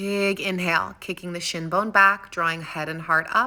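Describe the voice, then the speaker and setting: Her bright, sharp tone sits at a fairly low pitch as this woman speaks with an American accent at a fairly slow pace in a monotone, flat intonation. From California. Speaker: yoga instructor. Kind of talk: guided yoga class instruction. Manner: soft-spoken, calm.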